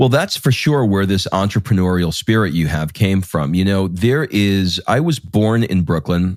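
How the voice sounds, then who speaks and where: A man with an American accent and an unremarkable speaking voice talks at a moderate pace in a fairly low pitch, with lively intonation, very even loudness and hardly any pauses. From New York City (Queens). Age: 50s. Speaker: podcast host. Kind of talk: interview.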